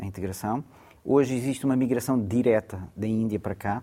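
A man with a medium pitch and a dark, mellow tone talks at a moderate pace with ordinary pitch variation. The recording is very clean, with a silent background. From Mozambique. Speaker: university lecturer and researcher. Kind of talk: interview discussion.

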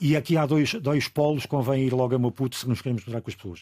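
A man's dark, mellow, somewhat breathy voice at a very fast pace, dry and close with no echo, on a very clean recording with a silent background. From Angola. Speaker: radio broadcaster. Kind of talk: casual chat.

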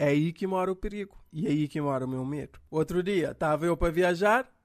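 Speaking at a fairly quick clip, a man is heard on a very clean recording with a silent background. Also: dry, close sound with no echo. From Cape Verde. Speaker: comedian. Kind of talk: comedic monologue.

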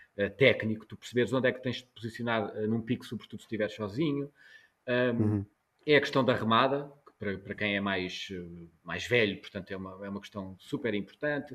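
A man with a fairly low pitch and ordinary pitch variation talks at a fairly quick pace. His loudness swings widely. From Portugal, Algarve. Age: 40s. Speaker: journalist. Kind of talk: interview. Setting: video call. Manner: halting, many repetitions.

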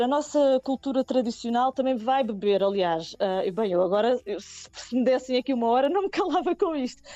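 With hardly any pauses, a woman speaks in a high pitch with very wide pitch swings and very even loudness, the sound dry and close with no echo under noticeable background noise. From Portugal, Nazaré. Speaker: singer and multi-instrumentalist. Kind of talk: radio interview. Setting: remote call via messaging app.

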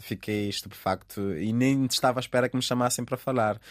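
An unremarkable speaking voice from a man, medium in pitch, with fairly even intonation and a dry, close sound with no echo. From Cape Verde. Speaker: stand-up comedian. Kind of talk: interview.

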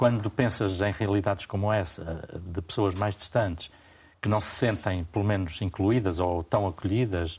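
At a fairly slow pace, a somewhat breathy voice keeps fairly even intonation on a very clean recording with a silent background. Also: man. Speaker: journalist and radio/TV debate host. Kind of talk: moderated panel discussion. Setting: studio.

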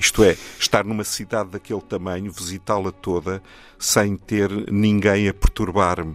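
In a European Portuguese accent, a man speaks at a fairly low pitch with monotone, flat intonation, in a dry, close recording with no echo. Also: moderate pace. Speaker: poet and translator. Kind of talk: poet reading own poems aloud, then interview. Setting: radio studio. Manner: measured, solemn, declamatory reading; reflective, somewhat halting in conversation.

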